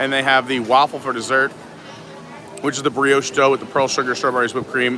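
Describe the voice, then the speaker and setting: Noticeable background noise sits under the recording. A man talks at a very fast pace. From New York (Suffolk County, Long Island). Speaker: live-stream vlogger. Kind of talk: live-stream walking tour. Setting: outdoors and indoors at a theme park.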